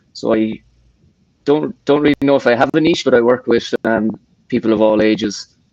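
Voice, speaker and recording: A man with an Irish accent speaks at a moderate pace in a dry, close sound with no echo. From Ireland. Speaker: personal trainer. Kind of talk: casual chat. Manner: halting.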